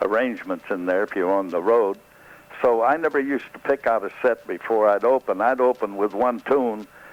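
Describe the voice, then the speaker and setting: A man speaks in a plain, everyday voice with an American accent. His medium pitch has ordinary variation, and his pace is moderate. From American South. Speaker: band leader, comedian, voice actor. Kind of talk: radio interview answer.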